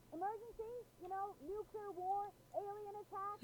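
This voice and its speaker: A squeaky, put-on character voice at an extremely high pitch, moderate pace, over clear background noise. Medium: video game. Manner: dry, matter-of-fact.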